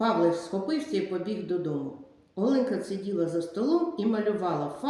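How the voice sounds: Lively intonation in a natural reading voice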